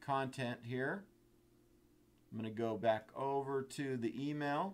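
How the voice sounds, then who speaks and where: A man's ordinary speaking voice at medium pitch, fairly slow, with ordinary pitch variation. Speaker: software trainer. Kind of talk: webinar tutorial. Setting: online webinar.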